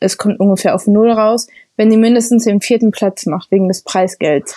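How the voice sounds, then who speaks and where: A woman with a dark, mellow tone and fairly high pitch speaks at a moderate pace with ordinary pitch variation, her sound dry and close with no echo. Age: 20s. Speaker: university student and triathlete. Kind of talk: interview.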